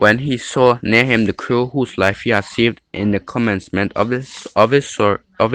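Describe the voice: Someone reads the text aloud plainly.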